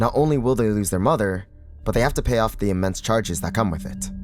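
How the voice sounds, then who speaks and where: Fairly low male pitch and lively intonation, with music in the background. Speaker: voice actor. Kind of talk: video essay narration.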